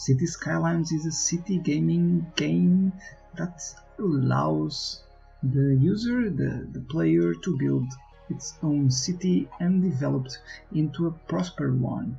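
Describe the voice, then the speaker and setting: A man talks at a very slow pace. Music plays in the background. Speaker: gaming YouTuber. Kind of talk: gameplay commentary.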